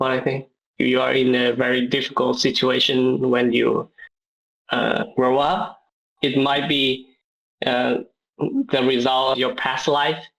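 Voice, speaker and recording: Long, frequent pauses break up this man's speech. His medium-pitched voice is flat and monotone, with vocal fry. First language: not English. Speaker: book club participant. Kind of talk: casual discussion. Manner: halting.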